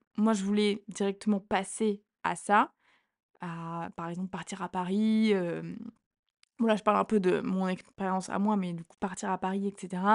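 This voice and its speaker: The delivery is monotone and flat at a moderate pace. The background is quiet. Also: woman. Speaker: podcast co-host, student. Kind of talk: casual chat.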